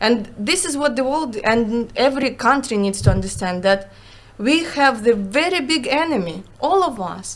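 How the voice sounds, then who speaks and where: With a Ukrainian accent, a woman with a high pitch speaks at a moderate pace, her voice making very wide pitch swings. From Ukraine. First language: Russian. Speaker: Ukrainian refugee, former business owner. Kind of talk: interview. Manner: halting, searching for words; animated.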